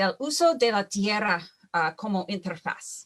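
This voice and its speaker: In an English accent, a woman speaks at a very slow pace, her pitch swinging very widely. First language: English (speaking Spanish). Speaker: wildfire scientist, panelist. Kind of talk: conference presentation. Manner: halting, many fillers.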